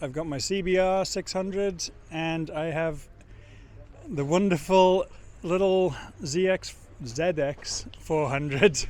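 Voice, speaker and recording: This man has a high voice and a British accent. His pitch varies in an ordinary way. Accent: British accent despite US residence. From northern England, Sheffield; later Isle of Man. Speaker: amateur motorcycle racer. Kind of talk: casual interview.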